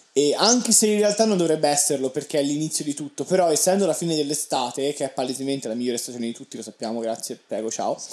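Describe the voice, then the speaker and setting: Speaking at a very fast pace with hardly any pauses, a man uses a fairly high pitch, an animated tone and lively intonation. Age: young. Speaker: podcast co-host, university student. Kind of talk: casual chat.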